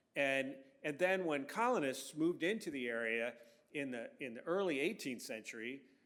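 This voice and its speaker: With an American accent, a man talks at a moderate pace in a fairly high pitch, his intonation lively and audible room echo around him. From Virginia, Franklin County and Northern Virginia. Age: 60s. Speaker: historian. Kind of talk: public lecture. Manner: casual, many fillers and restarts.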